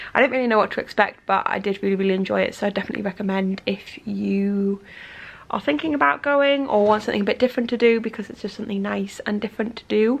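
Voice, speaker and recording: A woman talks at a very fast pace with ordinary pitch variation. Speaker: vlogger. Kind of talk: casual vlog chat. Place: home room. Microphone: phone near.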